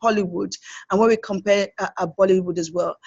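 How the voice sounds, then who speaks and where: A woman at a medium pitch talks at a very fast pace with fairly even intonation. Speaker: film producer. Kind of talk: interview.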